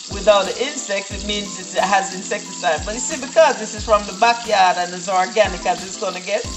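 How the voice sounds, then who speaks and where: The pace of the speech is moderate. Behind it, faint music plays in the background. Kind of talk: cooking tutorial. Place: kitchen. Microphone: phone near.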